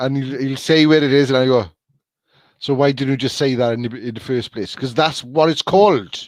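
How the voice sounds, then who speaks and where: Speaking with a Welsh accent, a man has a medium pitch and ordinary pitch variation. His pace is fairly quick. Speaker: podcast host. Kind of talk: casual chat. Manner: halting.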